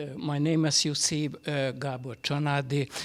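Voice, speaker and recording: Over noticeable background noise, a man talks with fairly even intonation and a fairly high pitch. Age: 70s. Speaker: sociologist, panelist. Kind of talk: panel self-introduction. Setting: conference hall with audience. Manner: halting, many fillers.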